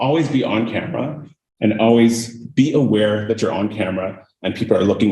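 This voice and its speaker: Somewhat breathy and dark, mellow in tone, a man at medium pitch talks at a moderate pace with ordinary pitch variation and audible room echo. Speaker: cybersecurity manager, guest speaker. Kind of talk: lecture. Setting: lecture hall with audience.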